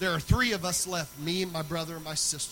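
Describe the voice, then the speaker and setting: A man speaks at a fairly quick pace in a fairly high voice with fairly even intonation. Audible room echo and noticeable background noise surround him. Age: 40s. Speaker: pastor. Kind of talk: sermon.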